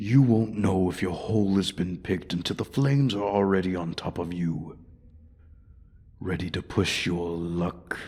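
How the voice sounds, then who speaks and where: In a put-on character voice, a man speaks with a menacing tone at a moderate pace, his pitch very deep and low. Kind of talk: ASMR roleplay audio. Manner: menacing, taunting.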